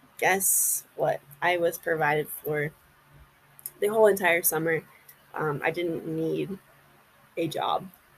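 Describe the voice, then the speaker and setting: A woman talks very slowly, pausing long and often, with noticeable background noise behind her. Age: 20s. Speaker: podcast host. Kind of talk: casual monologue. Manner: halting. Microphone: built-in mic, microphone unplugged.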